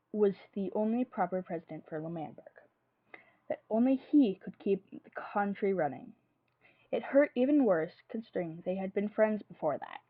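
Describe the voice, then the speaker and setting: A woman with an unremarkable speaking voice, medium pitch, lively intonation, big swings in loudness, moderate pace. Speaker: streamer. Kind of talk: fan fiction reading.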